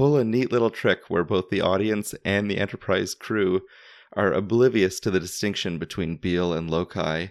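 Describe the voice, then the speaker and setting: With a Canadian accent, a man speaks in an ordinary speaking voice at fairly low pitch, a moderate pace and ordinary pitch variation, in a dry, close sound with no echo. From Canada. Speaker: podcast host. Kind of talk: scripted narration.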